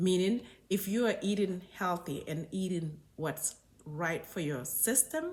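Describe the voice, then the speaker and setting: A woman speaks with a Senegalese accent. Her voice is somewhat breathy. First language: Wolof. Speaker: doctor. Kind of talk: health talk video.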